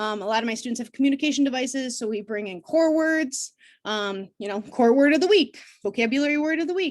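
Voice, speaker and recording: Against a quiet background, a woman talks at a very fast pace. Her voice is high-pitched, with lively intonation. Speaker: special education teacher. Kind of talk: live training webinar. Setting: video call. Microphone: video call.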